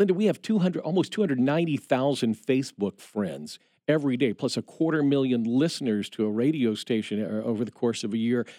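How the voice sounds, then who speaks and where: A man with a Midwestern American accent, a dark, mellow tone, medium pitch and lively intonation, at a very fast pace with hardly any pauses, in a dry, close recording with no echo. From Indiana. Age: 50s. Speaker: radio station manager. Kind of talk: interview. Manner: halting, many repeated words and fillers.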